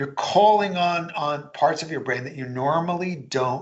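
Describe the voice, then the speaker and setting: A man talks at a moderate pace, his pitch varying in an ordinary way, with audible room echo around him. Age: 60s. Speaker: author and speaker on learning. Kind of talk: interview.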